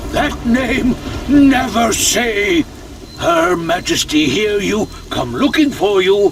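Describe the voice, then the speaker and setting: Putting on a character voice, a man talks at a very slow pace with a high pitch over clear background noise. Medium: machinima. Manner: dry, sardonic.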